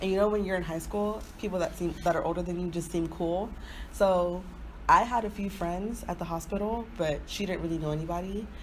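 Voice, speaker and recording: Somewhat breathy, a woman with an American accent speaks at medium pitch and a fairly quick pace amid audible room echo. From Nigerian family, grew up in US. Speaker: podcast co-host. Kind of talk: casual chat. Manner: animated.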